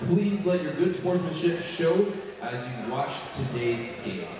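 Over light background noise and strong room echo, a man speaks in a high pitch. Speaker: public address announcer. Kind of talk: arena announcement. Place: hall. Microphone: pa.

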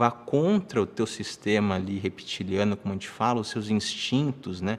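With ordinary pitch variation, a man delivers his words at a moderate speed. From Brazil, São Paulo. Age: 30s. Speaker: online finance course instructor; finance course teacher. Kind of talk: live-streamed lecture. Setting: livestream. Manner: animated. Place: home room.

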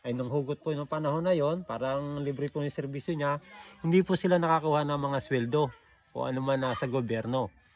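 A man's fairly high-pitched, normal speaking voice at a fairly quick pace, with ordinary pitch variation. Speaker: vlogger interviewer. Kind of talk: casual talk to camera.

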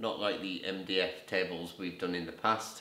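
A man talks at a fairly slow pace with audible room echo and light background noise. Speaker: tech hobbyist video host. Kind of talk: casual product walkthrough. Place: home room. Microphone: camera far.

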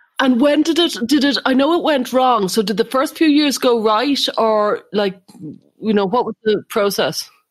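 A woman speaks with an Irish accent at a moderate pace. Her pitch is high, with ordinary pitch variation. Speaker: psychotherapist and podcast co-host. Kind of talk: interview.

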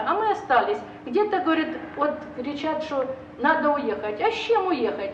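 The pitch swings very widely. Audible room echo and light background noise can be heard. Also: woman. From Donbas, eastern Ukraine. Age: 60s. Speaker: war-zone resident. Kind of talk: testimony. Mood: weary, bitter. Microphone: camera far.

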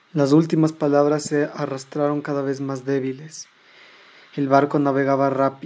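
A man talks at a fairly high pitch. His intonation is monotone and flat. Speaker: audiobook narrator. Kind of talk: horror audiobook reading, dramatic narration of a story. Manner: tense, suspenseful, building dread with slow deliberate pacing.

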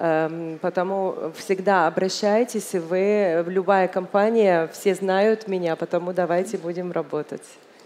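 A woman's medium-pitched voice at a very slow pace, with fairly even intonation and hardly any pauses. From Egypt. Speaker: business delegate; speaker. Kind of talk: panel talk. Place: hall. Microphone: headset.

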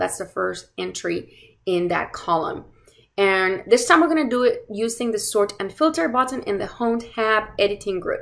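A quiet background behind a moderate pace. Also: woman. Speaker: course instructor. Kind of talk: tutorial. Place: home room. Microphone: webcam.

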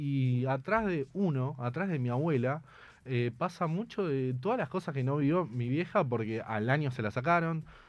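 A man at a moderate pace, with lively intonation and a dry sound with no echo. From Argentina, Buenos Aires west suburbs. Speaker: activist, grandson of a disappeared person. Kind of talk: interview. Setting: studio. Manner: halting. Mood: earnest, reflective. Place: studio. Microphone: studio mic.

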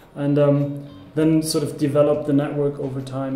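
Speaking at a fairly quick pace, a man keeps a monotone, flat intonation. The recording has audible room echo and light background noise. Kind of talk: interview answer. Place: meeting room.

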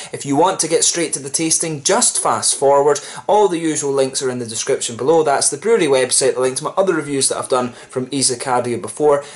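Very fast talking from a man with ordinary pitch variation. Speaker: beer reviewer. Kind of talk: casual review chat. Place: home room. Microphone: camera far.

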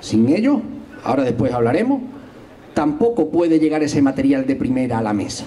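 A man speaks at a moderate pace with a fairly high pitch. His pitch swings very widely. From not from Algarrobo, moved there a few years ago. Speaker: history teacher and local party candidate; election candidate. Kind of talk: political rally speech. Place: garden. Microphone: handheld.

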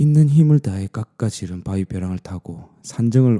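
With a Gyeongsang accent, a man speaks at a fairly low pitch with ordinary pitch variation. His voice has a dark, mellow tone and a dramatic tone. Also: dry, close sound with no echo. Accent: Gyeongsang dialect (southern Korea). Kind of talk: bedtime storytelling ASMR. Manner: dramatic, shifting into a pleading voice for the daughter's lines.

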